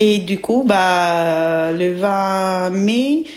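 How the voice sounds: A woman speaks at a very slow pace and fairly low pitch. Her tone is slightly mellow, with ordinary pitch variation.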